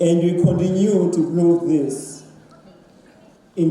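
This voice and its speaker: Fairly even in intonation, a man with a South African accent speaks at a high pitch. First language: Xhosa. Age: 50s. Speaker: writer. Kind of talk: panel talk.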